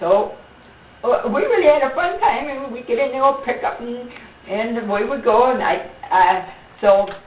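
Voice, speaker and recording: Over noticeable background noise, a woman speaks at a moderate pace in a high-pitched voice with lively intonation. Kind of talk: casual family storytelling.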